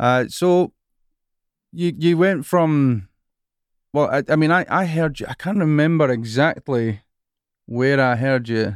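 With a Scottish accent, the speaker goes at a fairly slow pace with long, frequent pauses and ordinary pitch variation, on a very clean recording with a silent background. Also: man, fairly high pitch for a man. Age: 40s. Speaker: worship leader and songwriter, podcast host. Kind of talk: casual interview chat.

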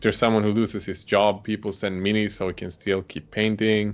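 Fairly quick and monotone, a man talks with a fairly low pitch and flat intonation. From Sweden. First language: Swedish. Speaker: miniature painter and video creator. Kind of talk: casual chat. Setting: video call.

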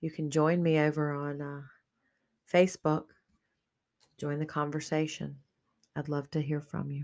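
Very clean recording with a silent background, a woman's very deep, low voice in a flat monotone, broken by long, frequent pauses. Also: moderate pace. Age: 50s. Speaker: podcast host and life coach. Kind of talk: solo monologue podcast. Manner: casual, hesitant with fillers.

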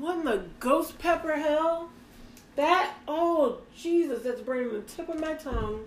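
With audible room echo, the voice carries an animated tone and lively intonation. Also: woman, high pitch for a woman. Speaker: podcast co-host. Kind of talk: casual chat.

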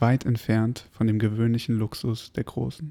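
A man's medium-pitched, calm voice at a fairly slow pace, with fairly even intonation, dry, close sound with no echo, and a very clean recording over a silent background. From Berlin, Germany. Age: 20s. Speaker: podcast host. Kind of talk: reading aloud. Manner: calm, slow.

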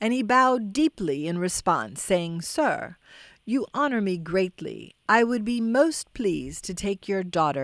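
The recording features a natural reading voice from start to finish.

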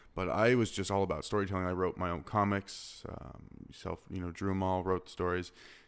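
A man with an American accent, very deep, low pitch and monotone, flat intonation. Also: fairly quick pace. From Arizona. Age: 20s. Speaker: podcast host, filmmaker. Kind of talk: casual interview.

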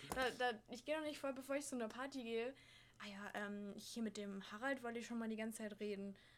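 Words come at a very fast pace with fairly even intonation. Noticeable background noise runs underneath. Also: woman, fairly high pitch for a woman. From Hesse, Germany (Frankfurt). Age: 20s. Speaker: au pair. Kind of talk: casual chat.

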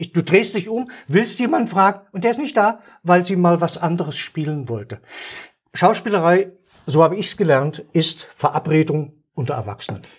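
Animated in tone, a man speaks at a moderate pace in a high voice with lively intonation. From Saxony, eastern Germany (Dresden). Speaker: retired stage actor. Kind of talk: casual chat. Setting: studio at a table.

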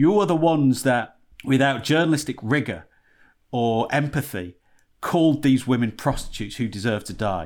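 In a very clean recording with a silent background, a man with a Yorkshire accent speaks at a moderate pace in a medium pitch with lively intonation. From Yorkshire, northern England. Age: 40s. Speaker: podcast co-host. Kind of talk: casual comedic chat.

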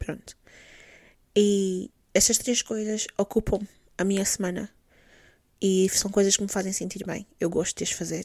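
A woman's medium-pitched, monotone voice, flat in intonation, at a fairly slow pace with long, frequent pauses, dry and close with no echo. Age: 20s. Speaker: podcast host. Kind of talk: solo monologue podcast, casual. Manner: code-switching between Portuguese and English.

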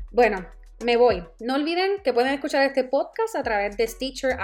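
With music in the background, the speech moves at a moderate speed and shows ordinary pitch variation. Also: woman. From Puerto Rico. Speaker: podcast host. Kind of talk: casual personal storytelling monologue.

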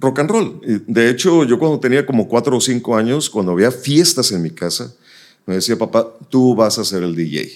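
At a moderate pace, the voice makes very wide pitch swings on a very clean recording with a silent background. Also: man, medium pitch for a man. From northern Mexico, Nuevo Laredo (border). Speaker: radio announcer. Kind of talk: casual interview.

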